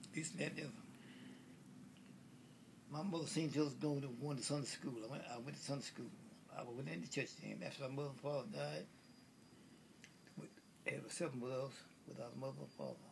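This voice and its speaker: Speaking at a fairly quick pace with ordinary pitch variation, this voice has vocal fry and long, frequent pauses. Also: man, medium pitch for a man. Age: 80s+. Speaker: war veteran. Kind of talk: interview answer. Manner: halting, repetitive.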